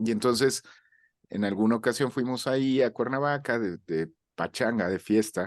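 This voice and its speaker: A man with a Mexican accent at a moderate pace, over a quiet background. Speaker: voice actor. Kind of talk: interview. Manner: halting, with many fillers.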